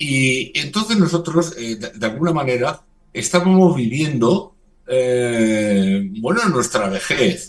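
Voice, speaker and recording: A man talks at a very slow pace, his pitch swinging very widely. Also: fairly high pitch for a man. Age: 60s. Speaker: religious community leader. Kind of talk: radio interview. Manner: halting.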